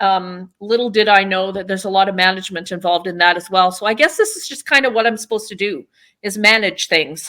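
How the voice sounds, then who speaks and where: A woman with a western Canadian accent speaks very fast at a medium pitch, her bright, sharp tone moving with ordinary pitch variation and big swings in loudness. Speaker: town mayor and political candidate. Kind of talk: interview. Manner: casual, with frequent fillers.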